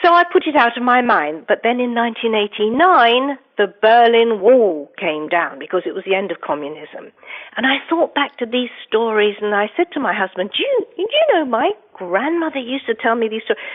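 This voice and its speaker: With an English accent, a woman talks at a moderate pace. Her fairly high voice makes very wide pitch swings. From England, London. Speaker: investigative journalist and author. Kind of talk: interview.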